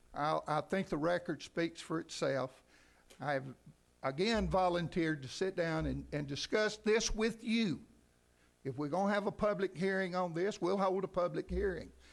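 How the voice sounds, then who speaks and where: A loud voice with an Alabama accent at a moderate pace. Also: man, high pitch for a man, ordinary pitch variation. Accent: US South, Alabama. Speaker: city council member. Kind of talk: heated debate. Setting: council meeting.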